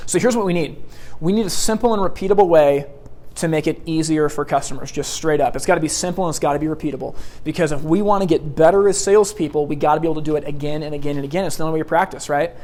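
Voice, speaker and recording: Amid noticeable background noise, a man with an American accent and a fairly high pitch talks at a very fast pace with ordinary pitch variation. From US Pacific Northwest, Portland Oregon. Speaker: sales trainer. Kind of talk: seminar lecture. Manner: loud and fast.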